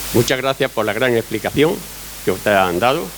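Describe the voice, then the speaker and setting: Over noticeable background noise, a man speaks at a medium pitch and a fairly quick pace with lively intonation. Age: 60s. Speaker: olive farmer. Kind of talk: public Q&A testimony at a talk.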